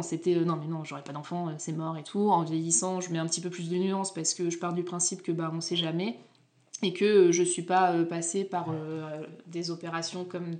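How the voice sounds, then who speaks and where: Her intonation is monotone and flat, with a fairly low pitch. The woman keeps a moderate pace. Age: 30s. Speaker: podcast host. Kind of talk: casual chat.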